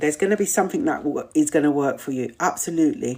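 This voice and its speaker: A woman's warm, animated tone at a moderate pace with a British accent. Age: 50s. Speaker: community host. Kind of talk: live Q&A chat reading viewer comments.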